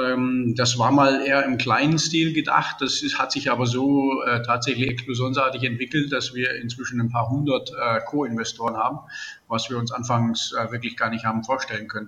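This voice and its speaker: Over noticeable background noise, a man speaks in a monotone, flat delivery at a medium pitch. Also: moderate pace. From Germany, Baden-Württemberg. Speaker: entrepreneur. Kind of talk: interview.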